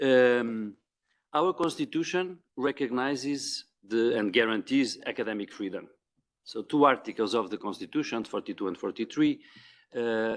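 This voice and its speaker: The speaker talks in a Portuguese accent at a moderate pace with ordinary pitch variation. The recording is very clean with a silent background. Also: man, medium pitch for a man. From Portugal. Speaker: diplomat. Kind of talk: panel remarks. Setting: conference room with audience. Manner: halting, many repetitions; unscripted.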